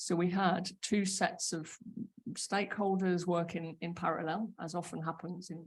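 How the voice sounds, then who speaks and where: Somewhat breathy, a woman talks at a fairly low pitch in a monotone, flat intonation. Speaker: homelessness program manager. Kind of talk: conference panel talk. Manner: halting, frequent fillers and repetitions.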